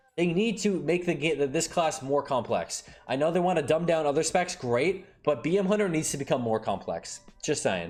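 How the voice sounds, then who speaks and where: This man's voice sits at a fairly high pitch with ordinary pitch variation and very even loudness. Music plays in the background. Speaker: gaming streamer. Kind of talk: casual commentary reading patch notes. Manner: fast; animated.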